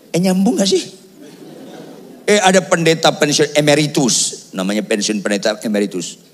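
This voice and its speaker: Through noticeable background noise, a man speaks at a moderate pace with very wide pitch swings. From Batak region, North Sumatra, Indonesia. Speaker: pastor. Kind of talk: sermon. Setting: church with congregation, also streamed. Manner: animated.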